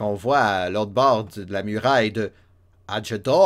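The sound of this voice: The speaker uses an unforced reading voice, and the pitch variation is ordinary.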